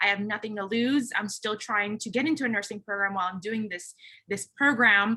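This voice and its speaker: With a Californian accent, a woman talks fairly quickly in a bright, sharp tone at a fairly high pitch. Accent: Californian American English. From Philippines, raised in the San Francisco Bay Area from age seven. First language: a Philippine language (English is her third language). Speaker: recruiting manager, panelist. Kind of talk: panel discussion. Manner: casual, with frequent fillers.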